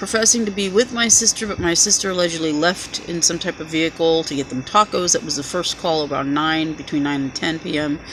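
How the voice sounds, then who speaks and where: A woman talks fairly quickly in a fairly low voice while noticeable background noise runs underneath. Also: ordinary pitch variation. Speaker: vlogger. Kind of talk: personal monologue.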